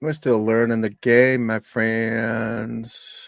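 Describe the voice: A man speaks at a very slow pace in a croaky, medium-pitched voice with vocal fry. His pitch shows little movement.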